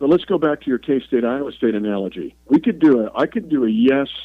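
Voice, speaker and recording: A man talks in an unremarkable speaking voice at a medium pitch, with ordinary pitch variation. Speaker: NFL play-by-play broadcaster. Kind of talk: radio interview.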